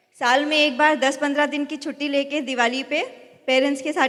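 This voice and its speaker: A woman's high-pitched voice with fairly even intonation at a moderate pace. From North India. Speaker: business award recipient speaker. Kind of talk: stage speech.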